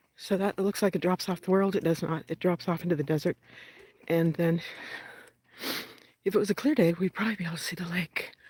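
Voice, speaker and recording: Her fairly low, somewhat breathy voice runs at a very fast pace with fairly even intonation, as the woman leaves long, frequent pauses. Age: 60s. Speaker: vlogger. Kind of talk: casual vlog monologue while walking. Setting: outdoors, walking in the desert. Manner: conversational, walking pace.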